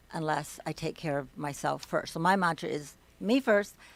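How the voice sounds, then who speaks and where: A woman with an American accent speaks at a moderate pace in an ordinary speaking voice, her pitch fairly low. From US Midwest. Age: 50s. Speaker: wellness coach. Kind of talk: interview. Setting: studio.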